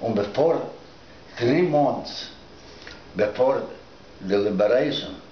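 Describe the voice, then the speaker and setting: Amid noticeable background noise and audible room echo, a man speaks at a medium pitch with lively intonation, at a very slow pace with long, frequent pauses. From Lithuania. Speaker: Holocaust survivor. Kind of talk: oral history interview. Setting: recorded interview. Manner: halting.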